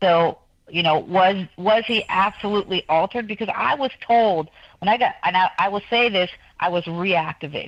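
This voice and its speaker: Using a plain, everyday voice, a woman talks at a medium pitch, her pitch varying in an ordinary way. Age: 60s. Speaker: guest. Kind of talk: talk show interview. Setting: studio. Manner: fast.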